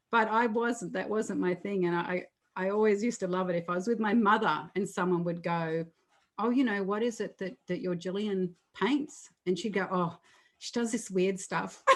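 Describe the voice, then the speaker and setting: A woman with an Australian accent at a moderate pace, with ordinary pitch variation. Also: medium pitch for a woman. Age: 60s. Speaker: artist. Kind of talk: interview.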